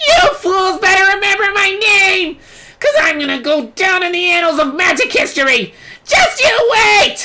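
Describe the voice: Using a put-on character voice with a bright, sharp tone, the speaker talks at a fairly slow pace with big pitch swings.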